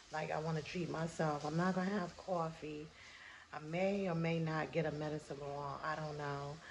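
The intonation is monotone and flat. Light background noise is present. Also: woman, very deep, low pitch for a woman, moderate pace. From US North. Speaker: vlogger and author. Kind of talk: casual vlog. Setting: in a car. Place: home room. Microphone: phone near.

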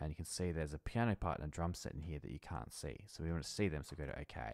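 A man's very deep, low voice with vocal fry and ordinary pitch variation at a fairly quick pace, dry with no echo, against a quiet background. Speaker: music educator. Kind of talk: screen-recorded software tutorial. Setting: home recording, mic off-centre. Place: home room. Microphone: studio mic.

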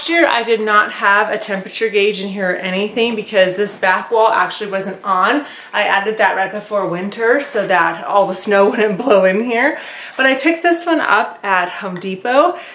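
A woman at a moderate pace, with audible room echo around her voice. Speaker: garden vlogger. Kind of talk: casual vlog chat. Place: garden.

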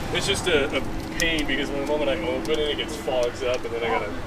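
The pace is fairly quick. Loud background noise runs under the speech. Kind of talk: casual chat showing off his car. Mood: enthusiastic, proud. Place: street. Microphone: camera far.

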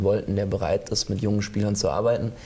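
Speaking at a fairly quick pace, a man delivers his lines in a monotone, flat way at a fairly low pitch. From Rhine-Main region, Germany; Germany. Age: 30s. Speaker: ice hockey sporting director and assistant coach; assistant coach. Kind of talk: studio interview. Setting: TV studio. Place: studio. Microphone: lapel.

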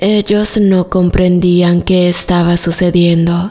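Over music in the background, a woman speaks very slowly in a solemn tone, her fairly low voice monotone and flat. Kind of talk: story narration. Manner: measured, solemn storytelling pace with hushed suspense.

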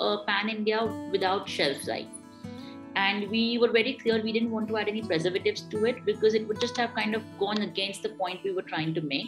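With clear music in the background, a woman talks at a moderate pace with hardly any pauses. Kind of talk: interview answer. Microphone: video call.

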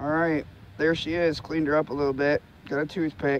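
There is noticeable background noise as a man speaks with a dry sound and no echo. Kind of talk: casual vlog commentary. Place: open country. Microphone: phone near.

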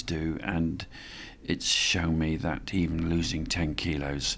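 A man speaks in a very deep, low voice with fairly even intonation. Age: 70s. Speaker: amateur ocean yacht racer. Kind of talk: interview answer. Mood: reflective, calm. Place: street.

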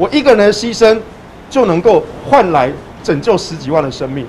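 Against light background noise, a man speaks at a high pitch with very wide pitch swings. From Taiwan, Taichung; Taiwan. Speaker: pro-nuclear activist. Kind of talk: press interview; press interview answer. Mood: earnest, firm. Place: street. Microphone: handheld.

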